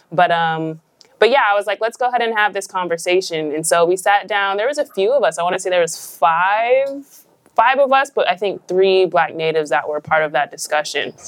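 A woman with an American accent has an unremarkable speaking voice, with a medium pitch, lively intonation and a fairly quick pace. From Idaho, Nez Perce reservation. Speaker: podcast co-host. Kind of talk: live show conversation. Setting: stage with audience.

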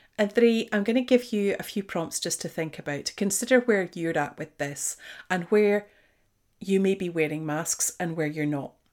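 A woman with a slight Scottish accent, medium pitch, lively intonation and a moderate pace, on a very clean recording with a silent background. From Scotland. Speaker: podcast host, leadership coach. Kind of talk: solo monologue podcast, conversational. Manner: reflective, conversational.

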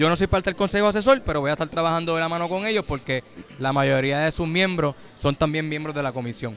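This man's pitch is fairly high and varies in an ordinary way. He talks at a very fast pace. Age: 40s. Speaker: government agency director. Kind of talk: interview. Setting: convention center event.

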